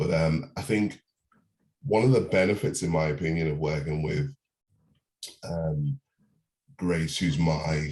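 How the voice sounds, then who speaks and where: A man's very deep, low voice with lively intonation at a moderate pace. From UK. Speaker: property investor. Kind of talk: testimony. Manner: hesitant, many fillers.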